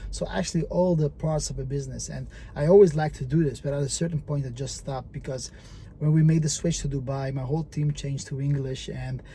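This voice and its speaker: This man talks at a fairly quick pace with a Dutch accent. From Netherlands, Moroccan family. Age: 30s. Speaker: entrepreneur. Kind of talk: vlog monologue. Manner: halting, many fillers.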